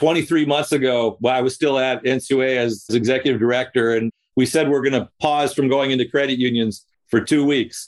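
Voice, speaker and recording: Fairly quick male speech with an ordinary speaking voice, medium pitch and fairly even intonation. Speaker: podcast host and credit union consultant. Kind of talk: interview.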